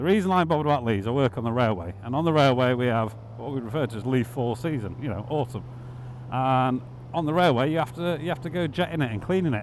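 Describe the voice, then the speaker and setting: Speaking very fast in a Yorkshire accent, a man uses lively intonation at a medium pitch. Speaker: motorcycle vlogger. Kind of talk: casual ride vlog commentary. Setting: riding a motorbike outdoors.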